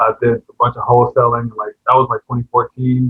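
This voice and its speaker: Pitched in a middle range, a man with an ordinary speaking voice talks, his pitch rising and falling in a usual way. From Tampa, Florida. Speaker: real estate investor. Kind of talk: self-introduction in group meeting.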